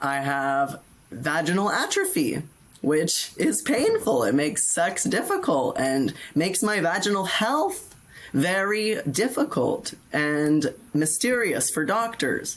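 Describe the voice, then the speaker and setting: At a very slow pace, a woman with a fairly low pitch makes very wide pitch swings while her loudness stays very even. Noticeable background noise is present. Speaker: detransitioner. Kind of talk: interview answer.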